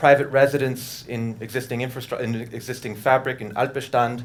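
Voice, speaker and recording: Audible room echo surrounds a man with a New York accent speaking at medium pitch. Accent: New York American English. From US, New York City. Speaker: architect. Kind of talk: lecture.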